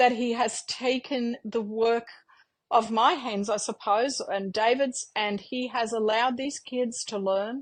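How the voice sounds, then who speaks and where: A woman speaks with an Australian accent. Her pitch is fairly high and her intonation fairly even. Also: quiet background. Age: 60s. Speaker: mother and homeschooling parent. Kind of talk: interview. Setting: podcast interview. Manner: halting, many fillers.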